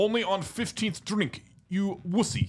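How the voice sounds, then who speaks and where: A man puts on a gruff character voice with a Russian accent and high pitch. He keeps a moderate pace. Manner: mocking, tough.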